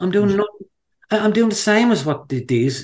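A man speaks at a moderate pace with lively intonation and an Irish accent. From Ireland, County Wicklow. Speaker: fly angler. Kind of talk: casual interview.

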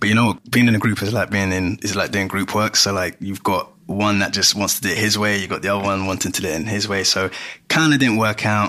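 A man with a London accent, fairly low in pitch, very fast, with fairly even intonation. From London (Greenwich), Ghanaian heritage. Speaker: musician. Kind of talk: casual chat.

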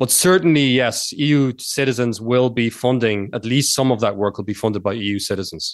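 Speaking at a fairly quick pace with hardly any pauses, a man with an American accent uses medium pitch and ordinary pitch variation. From Ireland. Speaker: political philosophy academic. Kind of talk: radio interview.

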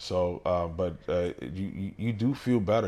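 A man's very deep, low voice in a New York accent, at a fairly slow pace with ordinary pitch variation, on a very clean recording with a silent background. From Brooklyn, New York, Dominican family. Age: 30s. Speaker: bodybuilder. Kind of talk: casual interview chat.

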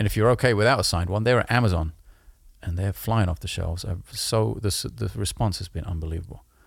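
A man's very deep, low voice with vocal fry, ordinary pitch variation and a very fast pace. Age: 40s. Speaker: musician and podcast co-host. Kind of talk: casual chat. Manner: animated.

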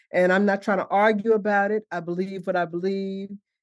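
With a New York accent, a woman speaks at a moderate pace and medium pitch. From New York City (Harlem, Brooklyn). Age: 70s. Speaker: herbalist and chaplain. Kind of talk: casual interview.

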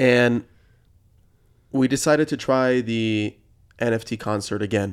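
This man has a normal speaking voice at a medium pitch. He talks at a fairly slow pace with fairly even intonation. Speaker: podcast host. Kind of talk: interview.

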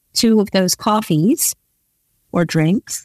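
A woman with a New York accent, medium pitch and a fairly slow pace, in a dry, close sound with no echo. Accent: New York American. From New York City, US. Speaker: entrepreneur and investor. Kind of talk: interview.

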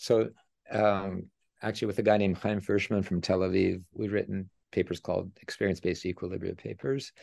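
A man speaks with vocal fry at a fairly low pitch. He goes at a fairly quick pace against a quiet background. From Canada, Edmonton, Alberta. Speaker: economics professor. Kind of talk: interview.

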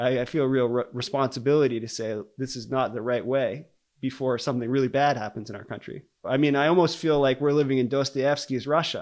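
In an American accent, a man with an unremarkable speaking voice and medium pitch talks at a fairly quick pace with fairly even intonation. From US Northeast (Maine). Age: 40s. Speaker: geophysics professor. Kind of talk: interview. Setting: dining room at home.

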